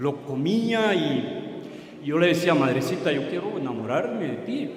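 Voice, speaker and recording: Noticeable background noise and audible room echo surround a man whose fairly high pitch swings very widely. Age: 60s. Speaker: former evangelical pastor. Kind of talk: testimony.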